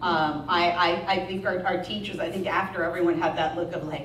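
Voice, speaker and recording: Fairly quick speech from a woman with a fairly low voice, audible room echo and noticeable background noise around her. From US, local school district. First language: Spanish. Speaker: school principal. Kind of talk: speech to parents at school meeting. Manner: casual, conversational.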